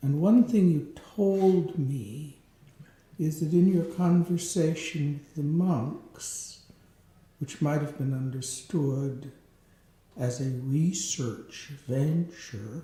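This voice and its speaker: This man's voice is fairly high in pitch. He talks at a very slow pace. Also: ordinary pitch variation. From rural farm upbringing. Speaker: interviewer. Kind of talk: interview.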